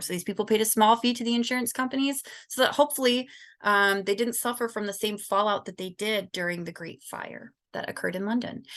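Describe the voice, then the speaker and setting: With a Michigan accent, a woman talks very fast in a bright, sharp tone with ordinary pitch variation over a quiet background. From Southern California. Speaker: student. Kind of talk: class presentation.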